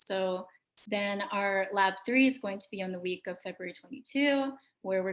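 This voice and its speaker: At a moderate pace, a woman with an ordinary speaking voice talks at a medium pitch with lively intonation. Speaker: lab instructor. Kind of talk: lecture. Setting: video call.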